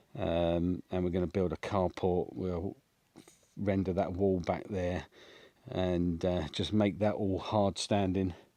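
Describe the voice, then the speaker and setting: A very slow, monotone voice with a dark, mellow tone and an English accent, set against a quiet background. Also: man, very deep, low pitch for a man. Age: 60s. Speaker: homesteading vlogger. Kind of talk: vlog walkthrough. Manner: casual, hesitant with fillers.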